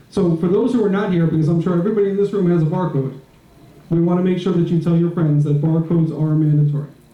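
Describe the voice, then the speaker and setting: With an American accent, a man speaks very fast in a high pitch for a man, his dark, mellow tone holding fairly even intonation and very even loudness amid audible room echo. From New York. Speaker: property manager. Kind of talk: meeting report. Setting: board meeting with audience.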